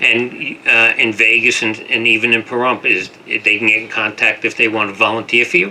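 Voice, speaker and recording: A man's medium-pitched, monotone delivery at a moderate pace, with hardly any pauses and noticeable background noise. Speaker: radio talk show host. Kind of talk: radio interview.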